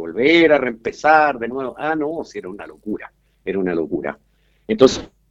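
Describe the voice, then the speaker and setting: A man talks at a fairly quick pace. His pitch swings very widely and his loudness rises and falls in big swings. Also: medium pitch for a man. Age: 70s. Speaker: blind musician. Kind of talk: interview.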